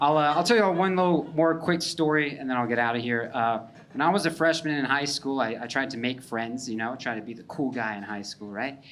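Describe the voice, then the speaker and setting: Talking at a fairly quick pace with hardly any pauses, a man uses a medium pitch and ordinary pitch variation, and audible room echo surrounds his voice. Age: 30s. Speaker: stand-up comedian. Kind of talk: stand-up. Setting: stage with audience. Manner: casual, halting with fillers.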